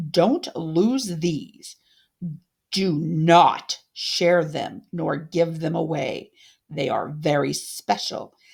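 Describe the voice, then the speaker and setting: In a put-on character voice, the speaker growls at a middle pitch and a very slow pace. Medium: read story. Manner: imperious, scheming.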